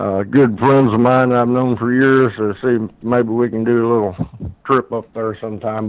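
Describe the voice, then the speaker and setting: Medium-pitched male speech with an American accent. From Ohio River Valley, Kentucky. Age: 60s. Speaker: eyewitness storyteller. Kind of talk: casual interview. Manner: halting, many fillers.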